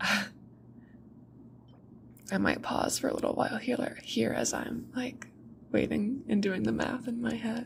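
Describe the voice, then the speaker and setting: The voice is soft-spoken with a gentle tone. It moves along at a moderate pace. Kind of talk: ASMR rambling about a video game, talking to the audience. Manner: soft-spoken, gentle.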